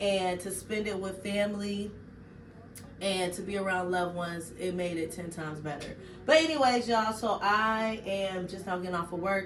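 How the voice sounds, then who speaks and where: A woman's medium-pitched voice carries audible room echo. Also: ordinary pitch variation, moderate pace. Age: 40s. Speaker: vlogger. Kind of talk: casual vlog chat. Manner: animated.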